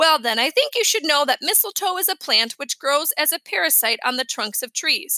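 A woman does a put-on character voice, high-pitched with lively intonation. Her tone is bright and sharp, and the sound is dry and close with no echo. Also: moderate pace.

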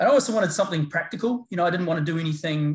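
The pace is very fast. The speech comes in a New Zealand accent. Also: man. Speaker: paramedicine lecturer and researcher. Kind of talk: interview chat. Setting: video call.

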